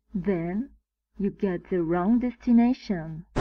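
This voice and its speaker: A woman with a French accent speaks at a very slow pace. Her pitch is medium and her intonation fairly even. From France. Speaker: geology student. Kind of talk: humorous travel-style presentation. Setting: low-quality microphone.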